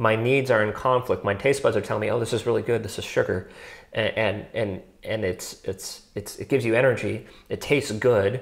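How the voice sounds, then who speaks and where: Against a quiet background, a somewhat breathy man speaks at a fairly quick pace with fairly even intonation. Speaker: podcast co-host. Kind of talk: casual philosophical discussion. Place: home room. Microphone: lapel.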